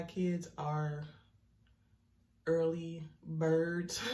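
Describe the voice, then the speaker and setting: Long, frequent pauses break up a somewhat breathy voice with a dark, mellow tone, heard with audible room echo. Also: woman. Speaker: vlogger. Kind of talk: vlog. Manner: casual, conversational. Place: bathroom. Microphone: phone near.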